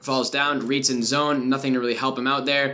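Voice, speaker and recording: A man talks at a very fast pace. Noticeable background noise runs beneath him. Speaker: gaming YouTuber, esports analyst. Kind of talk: gameplay VOD review commentary.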